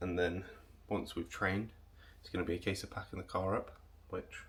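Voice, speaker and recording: At a fairly quick pace, a man talks with an English accent. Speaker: bodybuilder vlogger. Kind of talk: vlog talk to camera.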